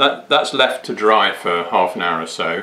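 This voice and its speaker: Moving at a moderate pace, a man speaks. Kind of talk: tutorial.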